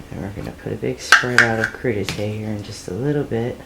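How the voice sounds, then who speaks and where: With an American accent, a woman speaks at a very deep, low pitch and lively intonation, amid noticeable background noise and audible room echo. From US. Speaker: home cooking channel host. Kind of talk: cooking tutorial. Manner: casual, conversational.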